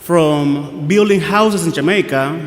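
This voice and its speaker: A man with a Guatemalan accent, fairly high-pitched and very slow, with ordinary pitch variation, audible room echo and noticeable background noise. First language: Spanish. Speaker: priest. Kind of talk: sermon. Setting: church.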